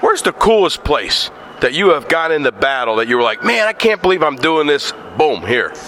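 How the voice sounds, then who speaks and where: A man's fairly high voice, lively in intonation and animated in tone, at a fairly quick pace with very even loudness over noticeable background noise. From northeastern Pennsylvania. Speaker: interviewer. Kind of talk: interview.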